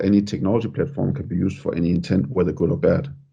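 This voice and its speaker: Here is a man with a Danish accent and a fairly low pitch. He talks at a very fast pace. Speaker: podcast host. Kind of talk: podcast interview.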